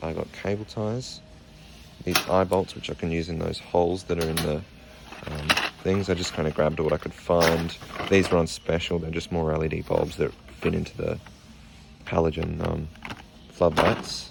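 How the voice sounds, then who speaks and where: With an Australian accent, a man talks at a very deep, low pitch and fairly even intonation, pausing long and often over noticeable background noise. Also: moderate pace. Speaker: vlogger. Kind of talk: casual vlog. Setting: in a hardware store.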